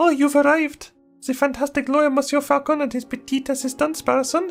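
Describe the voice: Put-on character voice from a man at an extremely high pitch, fairly quick in pace, with faint music in the background. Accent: French.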